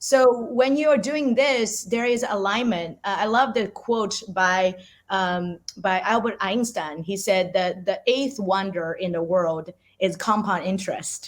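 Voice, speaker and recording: A woman with a Chinese accent speaks at a fairly slow pace, using a medium pitch and ordinary pitch variation. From China. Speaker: artist. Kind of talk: interview. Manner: halting, frequent repetitions.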